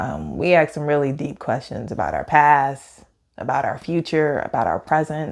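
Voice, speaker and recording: A woman speaks at a moderate pace with a very deep, low pitch, vocal fry and fairly even intonation in a very clean recording with a silent background. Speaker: pastor. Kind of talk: casual chat. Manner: loud.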